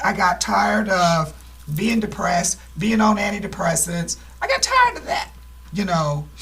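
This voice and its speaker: Speech at a moderate pace against noticeable background noise. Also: woman. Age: 60s. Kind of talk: testimony.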